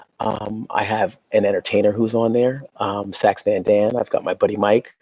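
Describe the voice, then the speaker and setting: Soft-spoken, a man talks at a moderate pace with an American accent. The sound is dry and close with no echo. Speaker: YouTube show host, celebrity's brother. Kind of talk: interview. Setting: video call from a library. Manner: halting, many fillers.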